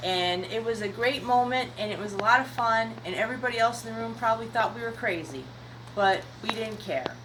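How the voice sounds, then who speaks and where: At a fairly quick pace, a woman with a medium pitch makes very wide pitch swings amid audible room echo and noticeable background noise. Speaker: seed shop owner answering gardening questions. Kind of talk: casual video answering questions. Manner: halting, many fillers.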